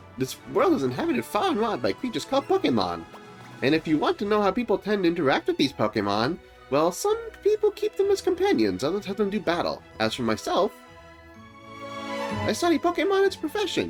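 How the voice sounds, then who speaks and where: A man's put-on character voice at a fairly quick pace, with clear music in the background. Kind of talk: professorial, explanatory.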